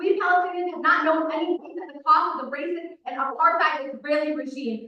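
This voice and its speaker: Raising and projecting her voice, a woman speaks at an extremely high pitch. Her fairly quick speech carries audible room echo. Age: 20s. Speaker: public commenter at city council. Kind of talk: public comment speech. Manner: impassioned.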